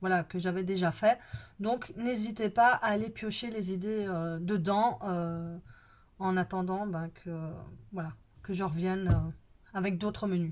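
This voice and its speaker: Fairly slow delivery with fairly even intonation and long, frequent pauses. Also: woman, medium pitch for a woman. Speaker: budget planning vlogger. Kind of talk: casual vlog talk to viewers. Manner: hesitant, many fillers.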